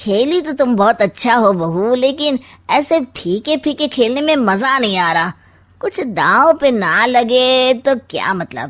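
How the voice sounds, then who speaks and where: A woman performs a cartoonish character voice at a high pitch, talking fairly slowly with lively intonation. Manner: sly, sarcastic.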